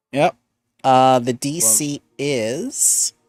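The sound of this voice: Over a quiet background, the clip carries an unforced reading voice.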